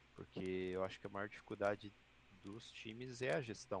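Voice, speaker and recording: Fairly slow speech from a man, his voice fairly low, with ordinary pitch variation. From Santa Catarina, Brazil (Joinville). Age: 30s. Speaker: esports team president. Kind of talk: casual chat.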